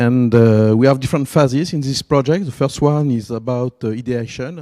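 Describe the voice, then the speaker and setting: In a French accent, a man speaks at a moderate pace and medium pitch, his tone dark and mellow and his pitch varying in an ordinary way, on a very clean recording with a silent background. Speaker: event organizer. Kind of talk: event introduction. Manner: halting.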